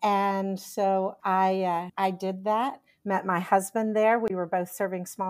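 A woman speaks in a monotone, with flat intonation, at a fairly slow pace. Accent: Texan. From Texas. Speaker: pastoral counselor and leadership coach. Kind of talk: casual interview.

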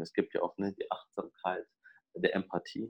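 Dry, close sound with no echo, a man talking at a moderate pace. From Ruhr area, Germany. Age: 20s. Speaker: psychologist and therapist. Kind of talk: interview conversation.

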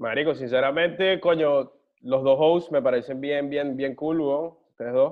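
A man with an unremarkable speaking voice, fairly high-pitched, at a moderate pace and with fairly even intonation. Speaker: singer. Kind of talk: casual interview.

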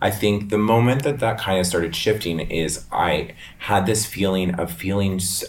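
A man with an American accent and a very deep, low pitch, with ordinary pitch variation, very even loudness, a moderate pace, and audible room echo. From Northern Virginia, US. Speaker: hairstylist and salon owner. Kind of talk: casual interview.

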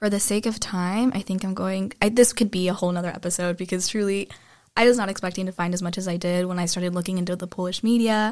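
In an American accent, a woman speaks at a medium pitch and a very fast pace with fairly even intonation. The recording is very clean, its background silent. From United States. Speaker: podcast host, student. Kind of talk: casual discussion. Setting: studio.

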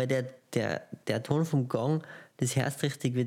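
Very clean and set against a silent background, this recording features a man with a dark, mellow tone. His medium pitch carries fairly even intonation at a moderate pace. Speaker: podcast co-host. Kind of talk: casual chat. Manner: mumbling.

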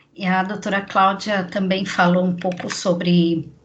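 Medium pitch from a woman, with room echo clearly audible. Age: 40s. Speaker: podcast host, communications adviser. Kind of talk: interview. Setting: remote recording.

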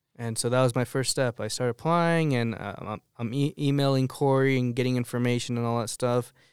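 An unremarkable speaking voice with an American accent moves at a fairly quick pace with fairly even intonation, captured dry and close with no echo on a very clean recording with a silent background. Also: man, medium pitch for a man. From Arizona, Tucson area. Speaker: minister. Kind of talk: testimony.

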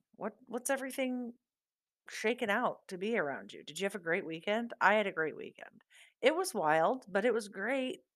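A woman speaks at a fairly high pitch. Her pitch swings very widely and her loudness swings a lot. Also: moderate pace. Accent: Midwestern American. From US Midwest, southeast Iowa. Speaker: podcast host. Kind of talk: casual monologue.

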